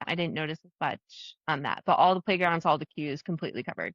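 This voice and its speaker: In a fairly low pitch and a slight New Jersey accent, a woman talks at a fairly quick pace, the sound dry and close with no echo against a quiet background. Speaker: travel agent. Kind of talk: casual chat.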